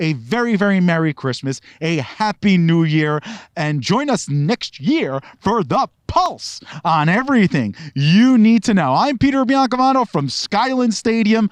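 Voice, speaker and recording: Here a man speaks at a fairly slow pace in a high pitch. His voice makes very wide pitch swings, recorded dry and close with no echo. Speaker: TV show host. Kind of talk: show sign-off. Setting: outdoors.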